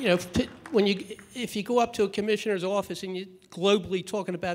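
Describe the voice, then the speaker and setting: The speech comes at a very fast pace in a very clean recording with a silent background. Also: man. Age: 60s. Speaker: activist speaker, victim's father. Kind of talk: conference speech. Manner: halting.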